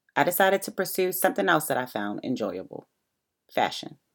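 The speech comes at a fairly quick pace with an American accent. The recording is very clean, with a silent background. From Baltimore, Maryland, US. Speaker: author. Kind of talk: audiobook narration of her own book.

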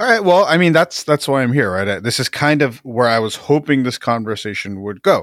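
Pitch swings very widely in this American accent, at a fairly quick pace with hardly any pauses. The recording is very clean and the background silent. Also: man, medium pitch for a man. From New Jersey, Jersey City. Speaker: podcaster and pop culture writer. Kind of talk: casual chat. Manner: halting, frequent fillers and repeats.

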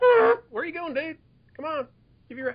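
Putting on a character voice, the man speaks at an extremely high pitch. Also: moderate pace. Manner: casual, friendly.

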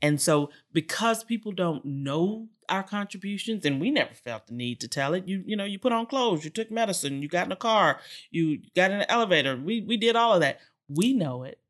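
On a very clean recording with a silent background, a woman with an American accent talks at a fairly quick pace and medium pitch, with very wide pitch swings. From Texas, Houston area. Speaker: energy executive and club president. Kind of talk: interview. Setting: club venue.

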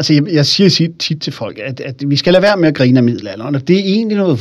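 Very fast and lively in intonation, the man's voice sits at a fairly high pitch. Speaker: historian and public speaker. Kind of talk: interview about his book. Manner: animated, engaging storyteller.

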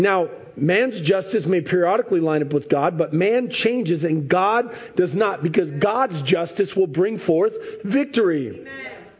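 Against noticeable background noise, a man with a high pitch talks at a fairly slow pace with lively intonation. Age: 40s. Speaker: pastor. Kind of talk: sermon.

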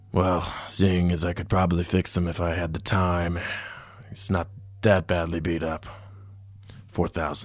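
In a put-on character voice, a man speaks with a raspy, very deep, low pitch, a serious tone and monotone, flat intonation at a moderate pace, leaving long, frequent pauses. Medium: actual play. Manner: terse, serious.

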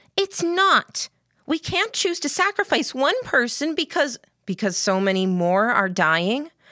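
On a very clean recording with a silent background and a dry, close sound with no echo, a woman puts on a character voice that is high-pitched, bright and sharp, with lively intonation and a fairly slow pace.

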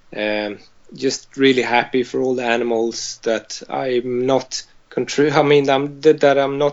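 A man with a Swedish accent speaks with fairly even intonation. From Sweden, Malmö. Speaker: vegan farmer. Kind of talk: interview. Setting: call.

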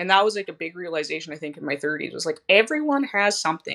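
A woman's bright, sharp voice at a medium pitch, with a slight Canadian accent and very wide pitch swings. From southern Saskatchewan, Canada. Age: 30s. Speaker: schoolteacher and fitness client. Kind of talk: interview, personal story.

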